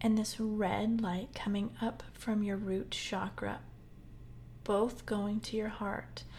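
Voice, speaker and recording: A woman speaks very slowly in a fairly high, somewhat breathy voice with a gentle tone. Her intonation stays fairly even. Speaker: healing coach and podcast host. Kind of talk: guided meditation; solo talk. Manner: gentle, measured pacing with pauses.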